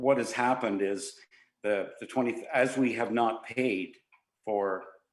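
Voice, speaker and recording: Room echo can be heard around the voice. A man is speaking at a fairly slow pace. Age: 70s. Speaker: museum volunteer and committee member. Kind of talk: council delegation request. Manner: halting, many fillers.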